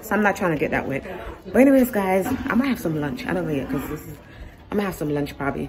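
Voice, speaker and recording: A woman at a very fast pace, over noticeable background noise. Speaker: travel vlogger. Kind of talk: casual vlog chat. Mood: nervous and excited. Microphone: phone near.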